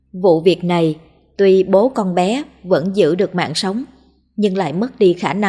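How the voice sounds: Someone reads aloud in a natural voice. The intonation is mostly even.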